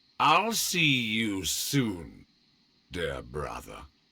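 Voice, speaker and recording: Putting on a growling character voice, a man with a medium pitch swings very widely in pitch. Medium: video game. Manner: aloof, condescending.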